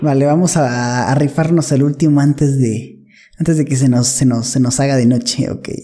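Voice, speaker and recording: The man's intonation stays fairly even as he talks at a moderate pace, with noticeable background noise behind him. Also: fairly high pitch for a man. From northern Mexico. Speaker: podcast guest. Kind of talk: casual chat.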